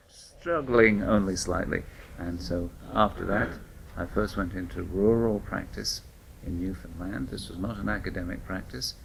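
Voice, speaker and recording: With audible room echo, a man with a British accent and a very deep, low pitch speaks at a moderate pace with ordinary pitch variation and vocal fry. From United Kingdom. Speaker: family physician and researcher. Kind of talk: interview.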